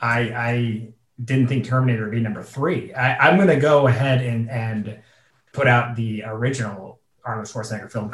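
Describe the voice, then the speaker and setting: At a moderate pace, a man speaks in an unremarkable speaking voice of medium pitch with fairly even intonation. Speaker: game show contestant.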